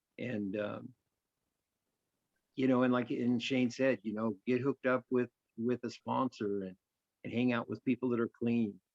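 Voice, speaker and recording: A man's medium-pitched, monotone voice at a moderate pace, with long, frequent pauses and a dry, close sound with no echo. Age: 60s. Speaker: recovering addict, sponsor. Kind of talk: online group talk. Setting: video call. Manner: halting.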